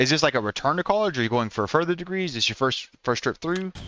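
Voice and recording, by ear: Speaking at a fast pace with lively intonation, a man with a slight Oklahoma accent has a fairly bright tone. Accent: American, light Oklahoma country twang.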